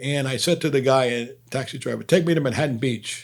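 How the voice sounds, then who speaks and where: A man at a fairly quick pace with a Brooklyn accent and ordinary pitch variation. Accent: New York (Brooklyn). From Brooklyn, New York. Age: 60s. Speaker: comedian. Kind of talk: casual storytelling to camera.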